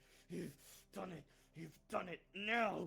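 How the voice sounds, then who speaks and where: A put-on character voice with a growl. Its pitch varies in an ordinary way. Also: man, high pitch for a man. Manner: through gritted teeth, straining.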